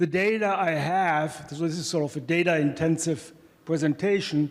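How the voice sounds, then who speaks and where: At a moderate pace, a man with a German accent talks in a high pitch with fairly even intonation. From Germany. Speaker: economics professor. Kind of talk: conference presentation. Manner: hesitant, many fillers.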